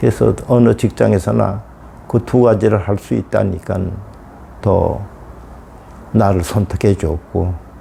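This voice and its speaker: Speaking at a very slow pace, a man leaves long, frequent pauses, his pitch fairly low with ordinary variation. Noticeable background noise can be heard. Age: 80s+. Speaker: elderly student. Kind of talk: interview monologue. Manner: halting.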